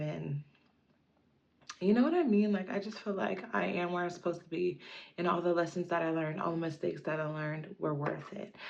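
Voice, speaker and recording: A woman speaks with an unremarkable speaking voice. Her pitch sits fairly low, with ordinary pitch variation. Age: 30s. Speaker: lifestyle vlogger. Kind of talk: casual personal vlog monologue. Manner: casual, filler-heavy.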